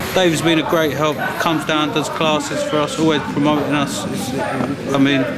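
Loud background noise fills the clip while a man talks at a moderate pace. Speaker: gym fighter or coach. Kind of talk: interview answer. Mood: proud, warm. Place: gym.

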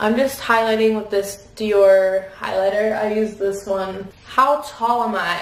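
Audible room echo follows speech delivered very slowly. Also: woman. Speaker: vlogger. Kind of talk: casual vlog chat, Q&A while doing makeup. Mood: relaxed, cheerful. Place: bathroom. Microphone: camera far.

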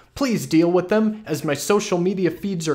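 Intonation is lively as a man talks at a moderate pace. Nothing disturbs the quiet background. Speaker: comedic web show host. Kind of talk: satirical commentary, reading a viewer email. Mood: sardonic, mock-serious. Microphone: studio mic.

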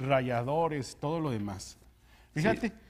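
A man's lively intonation at a fairly slow pace. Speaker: news show co-host. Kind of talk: news reading with commentary.

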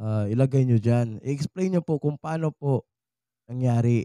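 His voice is medium in pitch, with a dark, mellow tone and ordinary pitch variation. The sound is dry with no echo, over a quiet background. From Visayas, Philippines. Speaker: YouTuber. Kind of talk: tutorial. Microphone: studio mic.

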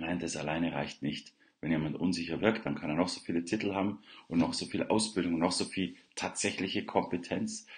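A man with a very deep, low pitch talks at a fairly quick pace with fairly even intonation against a quiet background. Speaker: self-confidence coach. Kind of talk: morning livestream monologue. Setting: live video stream, unfamiliar surroundings. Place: home room. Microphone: webcam.

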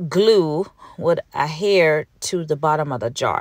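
A woman with a slight Jamaican accent and lively intonation. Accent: Jamaican Patois, mild. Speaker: candle maker, small business owner. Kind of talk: casual how-to voiceover.

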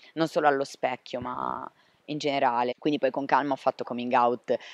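Against a quiet background, a man speaks at a fairly quick pace, the sound dry with no echo. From Liguria, Sanremo; Liguria. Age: 20s. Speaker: interviewee. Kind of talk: interview testimony. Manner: hesitant, with fillers. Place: garden. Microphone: handheld.

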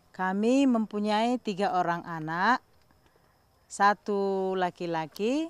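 A woman speaks at a very slow pace with lively intonation. The sound is dry, with no echo. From Indonesia. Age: 40s. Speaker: farmer. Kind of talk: interview testimony.

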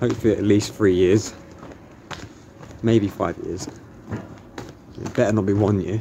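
Light background noise runs behind a man talking at a moderate pace. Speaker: vlogger. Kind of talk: casual vlog chat. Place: street. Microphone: phone near.

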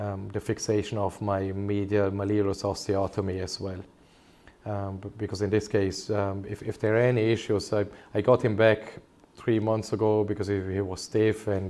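Intonation here is monotone and flat. A man speaks at a moderate pace with a fairly low pitch. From Germany. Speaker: consultant orthopaedic surgeon. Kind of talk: medical webinar presentation. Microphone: webcam.

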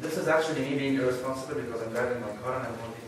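A man's voice with ordinary pitch variation, strong room echo and noticeable background noise. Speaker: conference speaker. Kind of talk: lecture. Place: hall.

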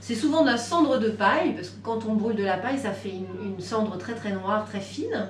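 At a moderate pace, a woman talks over light background noise. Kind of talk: explanation to a visitor. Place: shop. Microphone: camera far.

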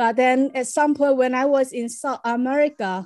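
In a quiet background, a woman with a Chinese accent speaks at a very slow pace in a high pitch. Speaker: performance artist; guest. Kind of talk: interview. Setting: video call. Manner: halting. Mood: reflective storytelling. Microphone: video call.

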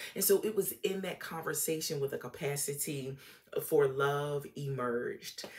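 At a moderate pace, a woman talks with an American accent. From Norfolk, Virginia, US; Virginia. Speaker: relationship coach / YouTuber; relationship coach, YouTuber. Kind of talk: casual monologue / educational talk. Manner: conversational, with filler words. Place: home room. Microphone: phone near.

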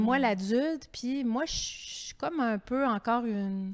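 A woman with a high voice speaks very slowly and with lively intonation against a quiet background. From Quebec. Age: 50s. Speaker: author and TV host; TV host. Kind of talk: public author interview. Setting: library terrace, livestreamed event. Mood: candid, animated. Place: hall. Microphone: handheld.

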